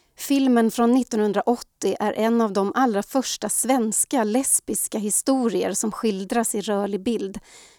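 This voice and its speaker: With a Swedish accent, a woman speaks at a fairly high pitch in a dark, mellow tone. Her pace is fairly slow, with hardly any pauses and fairly even intonation. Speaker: podcast host. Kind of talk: scripted narration.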